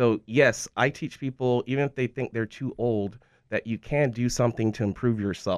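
A man's plain, everyday voice at medium pitch and moderate pace, with ordinary pitch variation, a dry, close sound with no echo and a quiet background. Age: 40s. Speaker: martial arts instructor and gym owner. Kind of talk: casual interview.

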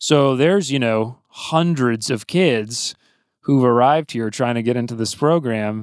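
A man with an American accent speaks at a fairly slow pace in a plain, everyday voice. His pitch is medium with ordinary variation, and the recording is very clean with a silent background. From US South, Athens, Georgia. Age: 30s. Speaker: recording engineer and producer. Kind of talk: casual interview chat.

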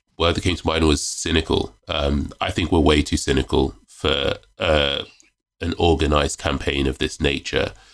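A man talks at a moderate pace with a very deep, low pitch. Vocal fry runs through his voice. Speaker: magazine editor and author. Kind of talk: casual podcast interview. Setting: video call.

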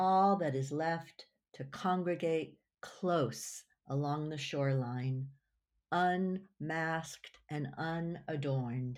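On a very clean recording with a silent background, a woman speaks very slowly in a very deep, low pitch with ordinary pitch variation. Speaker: poet reading her own work. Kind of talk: poetry reading, performed aloud with a measured, lyrical delivery. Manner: reflective, unhurried, intimate, with a gently lilting, expressive cadence.

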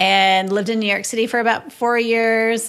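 A woman speaks with an Upper Midwest accent. Her pace is moderate and her pitch varies in an ordinary way. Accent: Upper Midwest American. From northern Minnesota (Moorhead). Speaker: real estate investor and agent. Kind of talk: casual interview.

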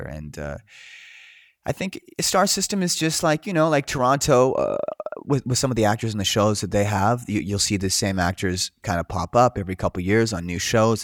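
A man speaks with a Canadian accent in an ordinary speaking voice, fairly low in pitch, at a fairly quick pace. The sound is dry and close, with no echo. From Canada, Coquitlam, British Columbia. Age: 30s. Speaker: actor. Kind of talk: casual interview chat.

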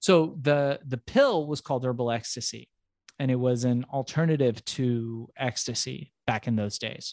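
An ordinary speaking voice from a medium-pitched man with an American accent, at a fairly slow pace with ordinary pitch variation, dry and close with no echo, against a quiet background. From US West Coast, emigrated from Iran at age four or five. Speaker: entrepreneur and business coach. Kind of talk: interview. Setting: remote interview, host on other coast.

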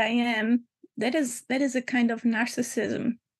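Speaking with a German accent, a woman uses a high pitch, fairly even intonation and a fairly slow pace. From Germany. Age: 50s. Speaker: spiritual teacher. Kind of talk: reflective interview.

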